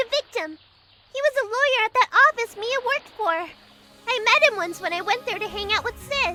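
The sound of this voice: In a put-on character voice, a female-sounding speaker talks at a moderate pace with extremely high pitch.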